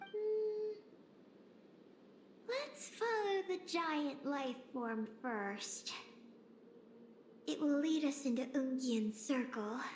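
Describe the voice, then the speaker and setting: Over clear background noise, a high, female-sounding put-on character voice speaks very slowly, with long, frequent pauses. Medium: game stream. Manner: brief, calm, matter-of-fact.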